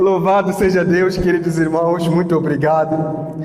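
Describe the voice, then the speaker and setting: A man with a high pitch speaks very slowly in a monotone, flat delivery, with audible room echo and noticeable background noise. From Mozambique. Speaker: missionary preacher. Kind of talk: sermon.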